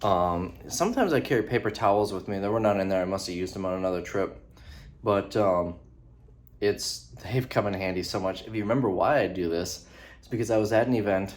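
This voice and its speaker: A quiet man at a fairly low pitch and fairly quick pace, with ordinary pitch variation and big swings in loudness. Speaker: vlogger. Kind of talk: casual vlog talk. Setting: hotel room. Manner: quieter, held back.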